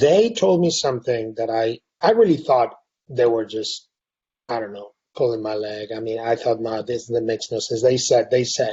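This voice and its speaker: A somewhat breathy man speaks in a Spanish accent at a medium pitch. His pace is moderate and his pitch variation ordinary. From Spain, Madrid. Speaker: university president. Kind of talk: casual chat. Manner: halting, many repeated words.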